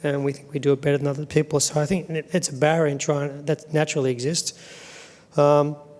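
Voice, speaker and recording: This man's fairly high voice runs at a very fast pace in a monotone, flat intonation. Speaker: associate dean and professor. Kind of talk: panel talk to academic audience.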